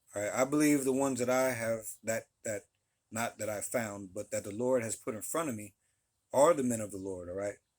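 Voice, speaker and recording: A normal speaking voice comes through here, its pitch rising and falling in an ordinary way. It moves along at a fairly quick pace. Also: man, medium pitch for a man. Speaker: religious teacher. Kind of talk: religious talk to camera. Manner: many fillers and repeated phrases.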